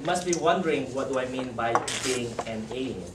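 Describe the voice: In a Malaysian accent, a man speaks at a medium pitch and a fairly quick pace with lively intonation, and room echo can be heard.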